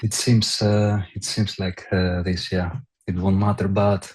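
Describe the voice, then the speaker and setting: A man's fairly low, dark and mellow voice, somewhat breathy, with monotone, flat intonation at a moderate pace. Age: 20s. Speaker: online store owner. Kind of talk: interview. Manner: halting, many fillers.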